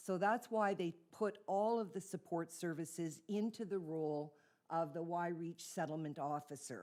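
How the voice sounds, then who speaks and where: A woman's dark, mellow voice in a Canadian accent, fairly low in pitch, with ordinary pitch variation and a moderate pace. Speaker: immigrant settlement officer. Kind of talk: presentation to town council. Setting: council meeting.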